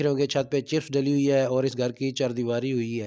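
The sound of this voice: At a fairly quick pace, a man speaks at a medium pitch with little pitch movement, his tone clear, smooth and slightly mellow.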